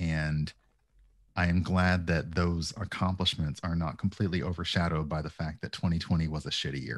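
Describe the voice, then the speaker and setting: Over a quiet background, a man speaks with an American accent at a very deep, low pitch. His pace is moderate and his intonation fairly even. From US South. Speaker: streamer. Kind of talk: casual chat. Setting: video call. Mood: relaxed, reflective. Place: home room. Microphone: headset.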